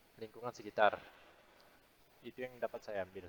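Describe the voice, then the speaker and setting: A man at a moderate pace with fairly even intonation, in a dry, close sound with no echo. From Indonesia, Pontianak, West Kalimantan. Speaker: university student. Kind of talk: class presentation.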